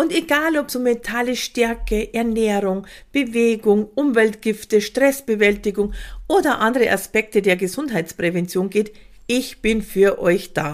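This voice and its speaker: In an ordinary speaking voice, a woman talks fairly slowly at a fairly high pitch with ordinary pitch variation. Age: 50s. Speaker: podcast host and prevention coach. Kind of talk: scripted monologue.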